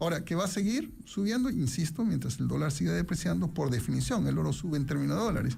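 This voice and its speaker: Over audible room echo, a man with a fairly high pitch, dark, mellow tone and vocal fry talks at a fairly quick pace with lively intonation. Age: 60s. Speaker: economics professor and investment commentator. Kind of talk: radio interview.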